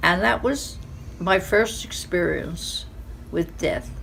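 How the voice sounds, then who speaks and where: Very slow speech with audible room echo. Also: woman. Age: 90s. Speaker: elderly woman sharing life lessons. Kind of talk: personal testimony. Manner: conversational with fillers.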